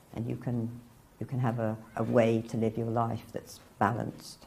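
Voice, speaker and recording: A woman speaks in a very deep, low pitch with a dark, mellow tone, monotone, flat intonation and a moderate pace. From northern England. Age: 60s. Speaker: convert telling her story. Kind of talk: testimony. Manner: casual, reflective.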